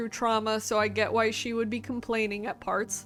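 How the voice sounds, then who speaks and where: The recording is very clean, its background silent. A woman talks at a fairly quick pace. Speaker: book reviewer video host. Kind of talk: casual book review monologue. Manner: fast; filler-heavy casual.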